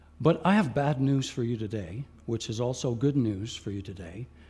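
With audible room echo, a dark, mellow, somewhat breathy voice moves at a fairly slow pace with ordinary pitch variation. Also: man. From Quebec. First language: French (with English). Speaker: guest preacher, Bible college teacher. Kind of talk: sermon. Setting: church with live congregation.

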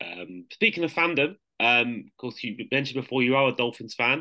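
A man speaks in a British accent at a medium pitch, with a bright, sharp tone. The background is quiet. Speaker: podcast host. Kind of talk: casual interview chat.

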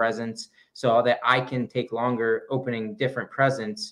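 A man has a normal speaking voice, medium in pitch, with fairly even intonation. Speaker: podcast co-host, runner. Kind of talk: casual chat, live show banter. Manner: playful, joking.

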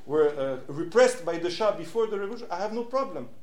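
With audible room echo and noticeable background noise, the intonation stays lively. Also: man. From Switzerland. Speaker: activist and lecturer. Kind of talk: public talk. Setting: stage with audience.

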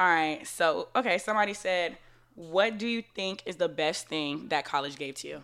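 A woman's fairly low voice at a moderate pace, lively in intonation, on a very clean recording with a silent background. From Florida. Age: 20s. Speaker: podcast host. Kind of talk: casual chat.

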